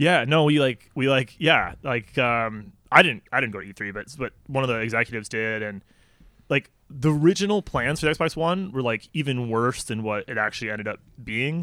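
A man with an American accent speaks at a medium pitch and moderate pace with big swings in loudness, in an ordinary speaking voice. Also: lively intonation. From Chicago suburbs, Illinois. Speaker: podcast guest, PhD researcher. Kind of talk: casual chat.

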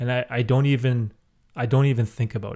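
A man talks at a fairly quick pace in a somewhat breathy voice, recorded very cleanly against a silent background. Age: 30s. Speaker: podcast host and youtuber. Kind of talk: casual chat.

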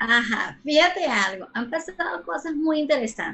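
This woman's intonation is lively while her pace stays fairly slow. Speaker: sexologist. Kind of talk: casual interview. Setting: video call.

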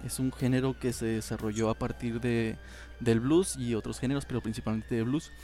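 Speaking at a moderate pace, a man talks in a Mexican accent. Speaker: podcast host. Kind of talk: casual chat.

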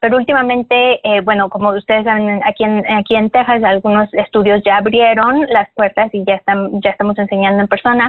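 In a normal speaking voice, the speaker moves at a fairly quick pace with hardly any pauses, fairly even intonation and very even loudness. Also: woman, fairly high pitch for a woman. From Mexico. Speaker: yoga teacher. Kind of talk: interview.

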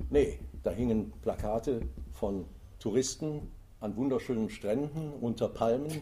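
A man's voice carries a dark, mellow tone and vocal fry. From Germany, Eifel (Rhineland). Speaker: author and tour guide. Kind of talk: interview. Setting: library recording.

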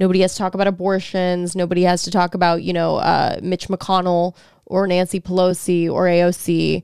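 In a very clean recording with a silent background, a woman speaks with an American accent at medium pitch. Her pace is fairly quick and her intonation flat and monotone. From Texas. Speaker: podcast co-host. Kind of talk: casual chat.

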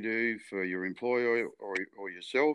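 Fairly even intonation in a strong Australian accent, against a quiet background. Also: man. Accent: broad Australian. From rural Victoria, Australia. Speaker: retired stock agent and businessman. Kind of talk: interview. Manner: halting.

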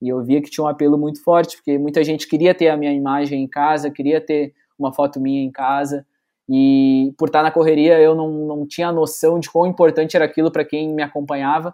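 Monotone, flat intonation marks this fairly quick delivery. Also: man, fairly high pitch for a man. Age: 20s. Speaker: sports photojournalist. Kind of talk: casual interview chat.

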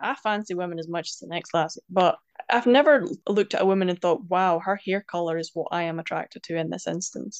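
Talking at a very fast pace in a Scottish accent, a woman with a fairly low voice shows ordinary pitch variation. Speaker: poet and language advocate. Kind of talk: interview.

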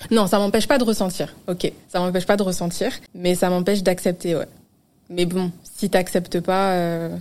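A woman at a moderate pace, medium in pitch, with fairly even intonation. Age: 20s. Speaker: social media manager. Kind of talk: casual chat.

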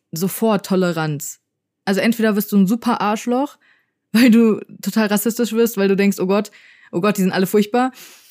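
On a very clean recording with a silent background, a woman at a medium pitch speaks at a moderate pace with very even loudness and long, frequent pauses. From Germany, Frankfurt. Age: 20s. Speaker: podcast co-host, YouTuber. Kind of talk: casual chat. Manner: animated.

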